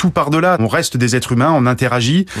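Fairly quick pace from a man at medium pitch, with ordinary pitch variation. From Guadeloupe. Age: 40s. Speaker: professional sailor. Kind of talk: radio interview. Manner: halting, frequent hesitations.

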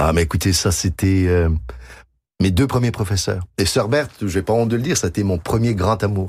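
Against a silent background on a very clean recording, a man with a very deep, low, somewhat breathy voice speaks at a moderate pace with very even loudness and ordinary pitch variation. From Quebec. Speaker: concert pianist and composer. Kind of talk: radio interview. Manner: halting.

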